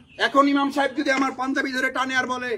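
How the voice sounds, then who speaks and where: Shouting loudly, a man's voice sounds bright and sharp at an extremely high pitch. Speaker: Islamic preacher. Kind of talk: sermon. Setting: outdoor Eid prayer ground with congregation. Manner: loud, shouting; fiery, impassioned. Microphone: speaking without a microphone.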